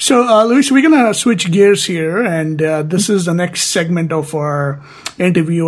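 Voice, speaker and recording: A man with a South Asian accent talks at a moderate pace. His pitch is high, with ordinary variation. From Indian subcontinent. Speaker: podcast host. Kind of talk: interview. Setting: call.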